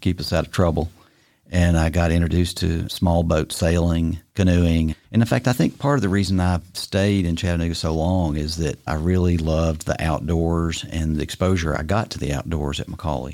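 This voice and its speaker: On a very clean recording with a silent background, a man speaks at a moderate pace with a very deep, low pitch, a dark, mellow tone and fairly even intonation. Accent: Tennessee. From Tennessee (Bristol, East Tennessee). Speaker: retired business executive and boat captain. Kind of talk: casual interview.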